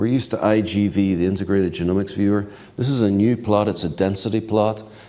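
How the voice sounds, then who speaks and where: A man talks very fast in a fairly low voice with a dark, mellow tone. His loudness stays very even, his intonation fairly even, and room echo is audible. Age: 60s. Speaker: keynote speaker, genomics researcher. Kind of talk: lecture.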